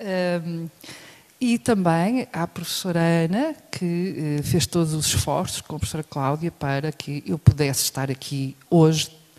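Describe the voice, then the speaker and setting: In a European Portuguese accent, a woman speaks at a fairly slow pace, her fairly low pitch showing ordinary variation. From Portugal. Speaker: professor. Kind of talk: lecture.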